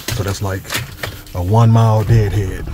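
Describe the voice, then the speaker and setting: Here a man talks at a fairly quick pace with a fairly low pitch. The sound is dry with no echo, with light background noise. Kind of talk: casual vlog chat. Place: car. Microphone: phone near.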